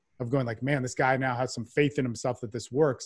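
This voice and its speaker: A somewhat breathy man's voice, dry and close with no echo, on a very clean recording with a silent background. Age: 40s. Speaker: men's development coach. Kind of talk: casual interview.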